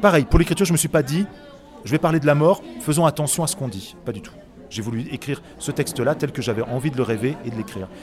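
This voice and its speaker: A man talks at a very fast pace and a fairly high pitch, with lively intonation and big swings in loudness. Noticeable background noise runs under his voice. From Autun, Burgundy, France. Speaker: children's author and actor. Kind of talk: interview. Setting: book fair.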